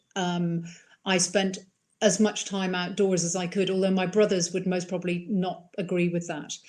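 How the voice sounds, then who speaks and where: With an Irish accent, a woman speaks at a medium pitch and a moderate pace in a flat, monotone delivery. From mixed upbringing: Iran, Ireland, England countryside. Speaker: wildlife filmmaker. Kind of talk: interview.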